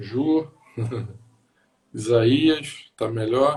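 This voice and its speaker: The speaker is a man. He sounds somewhat breathy. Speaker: pastor. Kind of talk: casual chat. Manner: soft-spoken.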